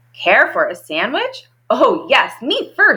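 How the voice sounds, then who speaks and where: Extremely high pitch in a put-on character voice. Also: fairly slow pace. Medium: read story.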